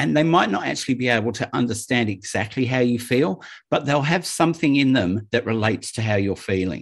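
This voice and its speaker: Using a normal speaking voice at medium pitch, a man talks at a fairly quick pace with lively intonation and hardly any pauses. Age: 50s. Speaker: podcast host. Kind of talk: casual chat. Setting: remote call.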